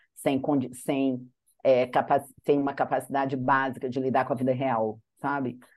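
A woman with a very deep, low pitch speaks at a moderate pace in a monotone, flat intonation, leaving long, frequent pauses. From Brazil, Minas Gerais (Manhuaçu). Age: 50s. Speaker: advertising executive and teacher. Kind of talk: interview conversation.

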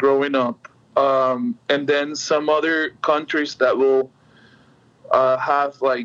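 A man speaks at a very slow pace with a Spanish accent, his pitch fairly high. His pitch variation is ordinary and his loudness very even. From Venezuela, Caribbean coast (Puerto La Cruz). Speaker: musician. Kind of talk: interview. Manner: halting, many fillers.

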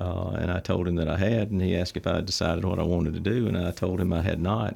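Very deep and low, this man's voice has a dark, mellow tone and an Alabama accent. His intonation stays fairly even on a very clean recording with a silent background. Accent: Southern US (Alabama). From US South, Troy, Alabama. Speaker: bank president and CEO. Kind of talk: interview. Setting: studio. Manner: halting, many fillers.

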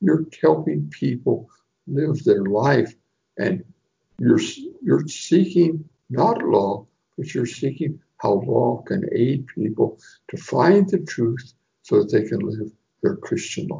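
A man speaking at a very slow pace, with long, frequent pauses. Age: 80s+. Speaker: canon lawyer and priest. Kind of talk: interview.

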